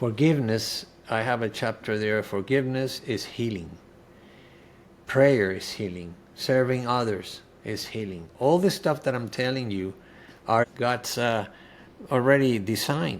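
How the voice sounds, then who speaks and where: Pausing long and often, a man with a Spanish accent speaks at a fairly slow pace with ordinary pitch variation. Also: medium pitch for a man. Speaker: cancer survivor and author. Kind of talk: interview testimony. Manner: halting, with many fillers.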